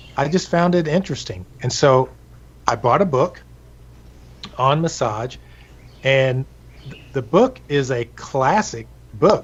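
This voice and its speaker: Somewhat breathy, a man with a fairly high pitch and lively intonation speaks at a fairly slow pace with long, frequent pauses. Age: 60s. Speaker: massage therapist. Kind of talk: interview. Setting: live stream.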